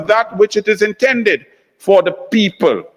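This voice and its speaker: A loud man with a high voice for a man and fairly even intonation, in a dry, close sound with no echo. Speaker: senator. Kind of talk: parliamentary speech. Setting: senate chamber. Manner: impassioned.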